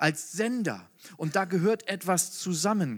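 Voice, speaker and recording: Recorded dry and close with no echo against a silent background, this very clean clip has a man with a high pitch, an animated tone and lively intonation. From northern Germany. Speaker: preacher. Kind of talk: sermon. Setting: hall with audience.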